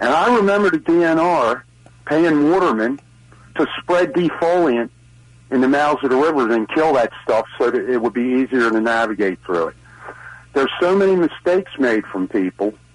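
A man with a Baltimore accent, fairly high in pitch, moderate in pace, with very wide pitch swings. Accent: Baltimore-area Maryland. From Maryland, Brooklyn Park. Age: 60s. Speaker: caller. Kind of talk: call-in comment. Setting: phone call.

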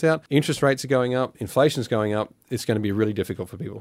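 At a very fast pace, a man with an Australian accent speaks at medium pitch with ordinary pitch variation on a very clean recording with a silent background. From Australia, Cairns (Far North Queensland). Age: 40s. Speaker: political candidate. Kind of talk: interview.

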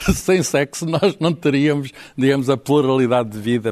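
The sound is dry and close with no echo as a man speaks in a fairly high voice. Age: 60s. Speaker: writer. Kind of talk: panel discussion.

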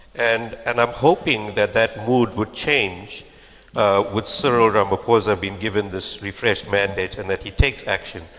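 Noticeable background noise surrounds a man speaking at a fairly low pitch with fairly even intonation. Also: moderate pace. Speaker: political analyst. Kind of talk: panel discussion.

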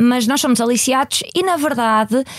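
This is a woman speaking. Her sound is dry and close, with no echo. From Portugal, Maia (Porto area). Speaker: company CEO. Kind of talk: interview. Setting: studio.

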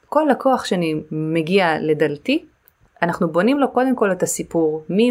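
This is a plain, everyday voice at a moderate pace. The intonation is lively. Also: woman. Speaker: digital marketing agency owner. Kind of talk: casual interview. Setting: remote call.

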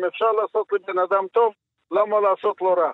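A man's voice, high in pitch. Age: 80s+. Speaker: Holocaust survivor and high school teacher. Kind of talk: testimony. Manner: halting.

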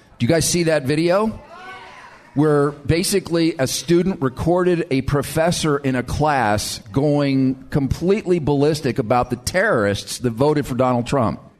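Noticeable background noise accompanies a man with a fairly high pitch who speaks at a moderate pace with ordinary pitch variation. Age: 50s. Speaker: radio talk show host. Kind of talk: casual chat. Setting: live event with audience.

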